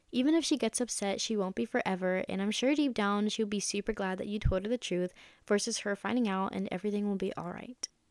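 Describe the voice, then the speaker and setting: This is a woman with an ordinary speaking voice. Her pitch is fairly high, with ordinary pitch variation. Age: young. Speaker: college student podcast host. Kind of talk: advice podcast.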